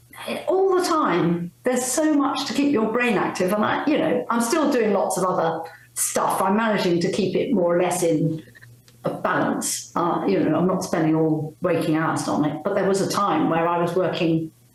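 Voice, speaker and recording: A woman's medium-pitched voice at a moderate pace, very even in loudness yet with very wide pitch swings, plus audible room echo and noticeable background noise. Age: 70s. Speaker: retired paediatrician. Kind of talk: interview conversation.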